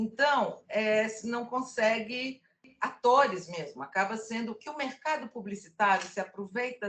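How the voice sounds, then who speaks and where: A woman uses an ordinary speaking voice at a moderate pace. Her pitch is fairly high and her intonation lively. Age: 60s. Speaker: casting producer and cultural producer. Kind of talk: casual discussion in an online workshop.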